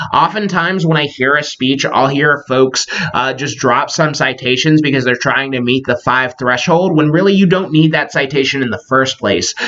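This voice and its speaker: Against noticeable background noise, a man talks with hardly any pauses at a fairly high pitch and ordinary pitch variation. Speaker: college instructor. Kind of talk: lecture. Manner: fast; casual with many filler words.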